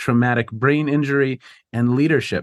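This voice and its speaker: A man with an ordinary speaking voice, fairly high pitch and ordinary pitch variation, against a quiet background. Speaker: podcast host and professor. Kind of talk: interview intro and discussion.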